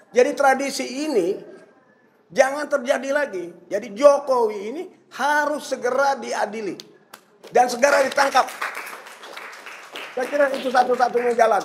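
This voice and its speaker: Speech at a moderate pace with ordinary pitch variation and long, frequent pauses, crowd noise in the background. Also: man, extremely high pitch for a man. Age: 70s. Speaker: senior journalist and activist. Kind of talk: political discussion. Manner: animated.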